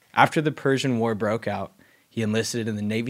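A man has a normal speaking voice at medium pitch with fairly even intonation. The recording is very clean, with a silent background. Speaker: podcast co-host. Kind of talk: casual chat.

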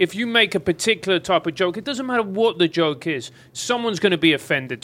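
A man talks very fast in a high pitch with lively intonation. His tone is bright and sharp, and the recording is very clean with a silent background. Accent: English. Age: 40s. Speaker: podcast host and comedian. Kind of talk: casual chat. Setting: studio.

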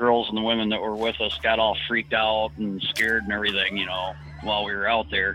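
Amid noticeable background noise, a man with an American accent talks at a fairly quick pace with ordinary pitch variation. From Detroit area, Michigan. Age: 40s. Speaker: retired firefighter and trucker. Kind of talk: storytelling interview.

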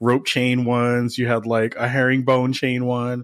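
A man talks at a medium pitch. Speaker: gaming podcast host. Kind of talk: casual chat. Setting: remote call. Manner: animated.

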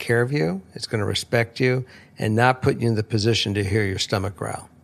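An unremarkable speaking voice at a fairly quick pace. Pitch varies in an ordinary way. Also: man. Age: 60s. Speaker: host's father, returning guest. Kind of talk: casual chat.

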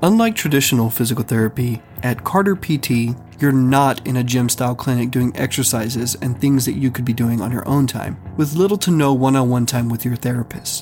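Over music in the background, a man of medium pitch talks at a fairly quick pace with hardly any pauses and ordinary pitch variation. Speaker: podcast host. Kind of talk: scripted narration with ad reads. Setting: Austin, Texas. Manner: formal.

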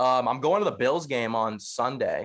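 A man with an unremarkable speaking voice talks at a moderate pace with fairly even intonation. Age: 20s. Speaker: podcaster. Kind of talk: casual chat.

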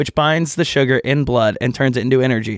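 With an unremarkable speaking voice and ordinary pitch variation, a man speaks at a fairly quick pace in a very clean, dry, close recording with a silent background and no echo. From Texas. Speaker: podcast co-host. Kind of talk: casual chat.

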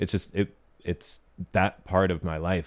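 In an American accent, a man speaks with a very deep, low pitch and monotone, flat intonation. The recording is very clean, with a silent background. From US. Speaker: poet and novelist. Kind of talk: interview.

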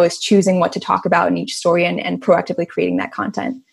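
Talking at a very fast pace, a woman with a fairly low pitch shows vocal fry. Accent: American. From Chicago, US Midwest. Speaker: activist. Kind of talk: casual chat.

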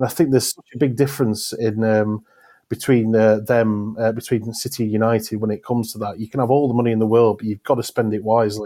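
Talking very fast, a man with a medium-pitched, dark, mellow voice keeps his intonation fairly even while his loudness swings widely. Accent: South Yorkshire. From South Yorkshire, England. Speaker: football journalist. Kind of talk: casual chat.

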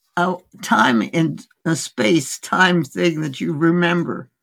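Her pitch is fairly low and her intonation lively, with vocal fry. The woman talks at a very slow pace. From India. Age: 80s+. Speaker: physician. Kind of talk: interview. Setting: remote call.

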